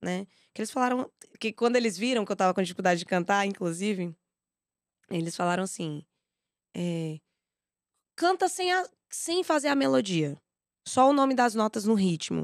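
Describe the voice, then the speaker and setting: In a dry, close recording with no echo, a woman talks with very wide pitch swings and long, frequent pauses. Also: medium pitch for a woman, moderate pace. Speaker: singer and music educator. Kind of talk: podcast interview.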